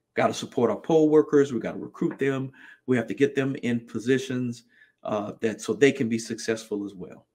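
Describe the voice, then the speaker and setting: On a very clean recording with a silent background, a man with an unremarkable speaking voice talks fairly quickly at medium pitch with ordinary pitch variation. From New Jersey, greater Philadelphia area. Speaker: political candidate. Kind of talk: campaign podcast monologue.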